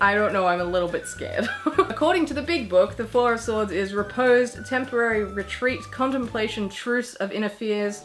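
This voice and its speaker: A woman's fairly high, lively voice at a moderate pace with hardly any pauses, music in the background. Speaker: YouTuber. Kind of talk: casual vlog.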